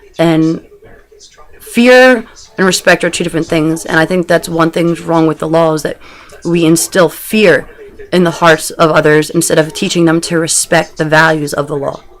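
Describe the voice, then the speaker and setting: A fairly low-voiced woman against noticeable background noise. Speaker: video blogger. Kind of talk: personal video diary. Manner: fast; animated.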